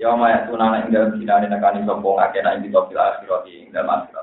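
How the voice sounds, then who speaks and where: A man talks at a very fast pace. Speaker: Islamic cleric teaching Quran exegesis. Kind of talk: religious lecture.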